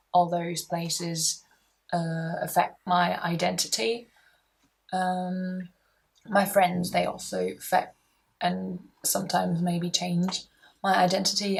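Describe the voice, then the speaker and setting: At a very slow pace, a woman speaks in a fairly low, somewhat breathy voice with monotone, flat intonation. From Germany. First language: German. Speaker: university student. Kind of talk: personal interview monologue. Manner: halting, with many fillers.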